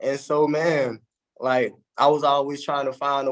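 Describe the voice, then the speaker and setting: The speaker is a man. He talks in a Southern US accent. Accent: Southern US (Georgia). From US South, south Georgia. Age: 30s. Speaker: motivational speaker. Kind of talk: motivational talk. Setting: live stream.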